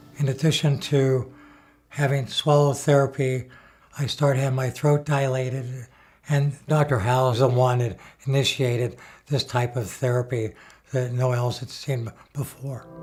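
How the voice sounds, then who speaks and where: Somewhat breathy and flat, a man's monotone voice moves at a moderate pace. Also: medium pitch for a man. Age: 70s. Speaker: head and neck cancer survivor, patient. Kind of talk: testimony.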